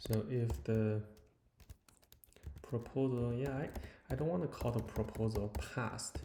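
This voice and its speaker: A man with a non-native accent, medium pitch, dark, mellow tone and somewhat breathy voice, at a fairly slow pace with ordinary pitch variation. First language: not English. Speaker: software developer. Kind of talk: live coding tutorial. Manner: halting, many fillers.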